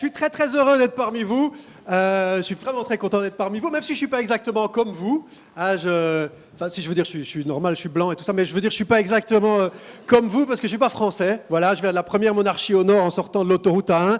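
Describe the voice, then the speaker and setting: A man talks at a very fast pace in a high pitch with ordinary pitch variation. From Belgium. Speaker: stand-up comedian. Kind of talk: stand-up. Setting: stage with audience.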